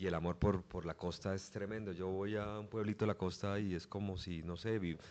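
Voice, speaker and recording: Here a man speaks at a very deep, low pitch. His intonation is fairly even. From Colombia, Bucaramanga (Santander). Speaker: sports journalist. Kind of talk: interview.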